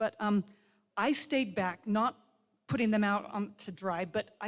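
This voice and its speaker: A woman's plain, everyday voice of medium pitch, at a moderate pace with ordinary pitch variation. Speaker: physical therapy faculty speaker. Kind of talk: ceremony speech.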